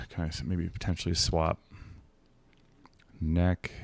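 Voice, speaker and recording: A man mumbles in a very deep, low voice. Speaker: video game streamer. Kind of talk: gameplay stream commentary. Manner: mumbling to himself.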